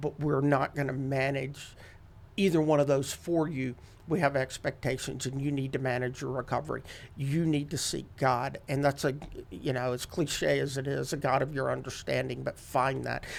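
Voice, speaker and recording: A man with a normal speaking voice talks at a medium pitch and a moderate pace with fairly even intonation, on a very clean recording with a silent background. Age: 50s. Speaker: addiction recovery outreach director. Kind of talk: testimony interview.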